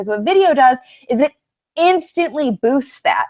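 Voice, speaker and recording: A woman's animated tone with very wide pitch swings. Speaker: online marketing coach. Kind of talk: webinar. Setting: live webinar. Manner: fast.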